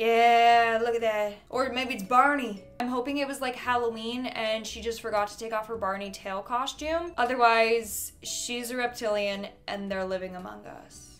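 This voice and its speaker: Faint music plays behind a woman speaking at a moderate pace. Her intonation is fairly even, and she leaves hardly any pauses. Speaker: reaction video creator. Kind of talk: casual commentary. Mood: amused, sarcastic. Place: home room. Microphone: studio mic.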